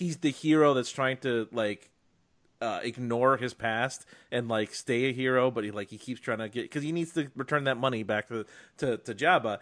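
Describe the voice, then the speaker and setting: Against a quiet background, a man talks in an ordinary speaking voice at a medium pitch and a moderate pace. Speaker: film podcast host. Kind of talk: casual chat.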